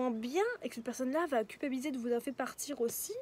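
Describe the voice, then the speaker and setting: A woman talks at a very fast pace in a high voice. Noticeable background noise runs underneath. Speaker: tarot card reader. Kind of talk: tarot reading. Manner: soft-spoken; halting.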